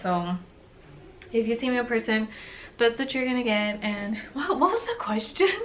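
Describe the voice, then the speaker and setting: Over noticeable background noise, a woman speaks at a moderate pace. Her pitch is fairly high. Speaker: lifestyle vlogger. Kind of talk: casual chat. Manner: soft-spoken.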